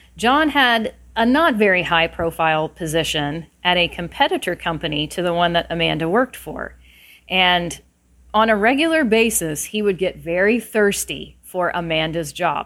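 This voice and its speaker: A woman speaks in an ordinary speaking voice, fairly low in pitch with lively intonation. Her pace is moderate, on a very clean recording with a silent background. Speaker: podcast host, career consultant. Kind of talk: bedtime-style storytelling, 'once upon a time' fairy-tale narration. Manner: conversational and opinionated when not telling the story.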